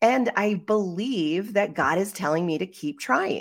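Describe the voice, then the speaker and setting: A normal speaking voice with lively intonation, in a very clean recording over a silent background. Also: woman. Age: middle-aged. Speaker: podcast co-host, life coach. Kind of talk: casual chat.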